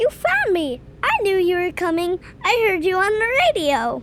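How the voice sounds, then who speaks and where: A woman does a squeaky, put-on character voice at an extremely high pitch, with very wide pitch swings and very even loudness. She talks at a moderate pace over light background noise. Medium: audio drama.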